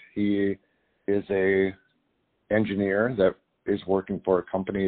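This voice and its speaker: In an Upper Midwest accent, a man speaks at a fairly slow pace. His pitch is fairly low. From North Dakota. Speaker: cattle rancher and farmer. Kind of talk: interview. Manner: halting, many fillers.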